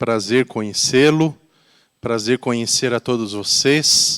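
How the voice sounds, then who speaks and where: A man's medium-pitched, very slow speech with fairly even intonation in a dry, close sound with no echo. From Brazil, Curitiba. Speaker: volunteer pastor. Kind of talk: sermon. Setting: church.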